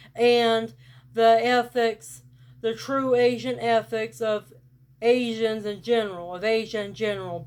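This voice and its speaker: A woman with a rural Southern US accent at a fairly high pitch, fairly slow in pace and fairly even in intonation, in a very clean recording with a silent background. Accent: rural Southern US, country. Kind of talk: casual talk to camera.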